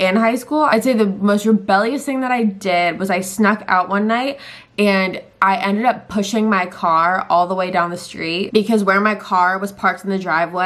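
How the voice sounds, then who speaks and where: A woman talks at a fairly quick pace with a Californian accent. Her pitch is medium, with ordinary variation. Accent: Californian American English. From Southern California. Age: 20s. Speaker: lifestyle and true crime YouTuber. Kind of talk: casual talk to camera.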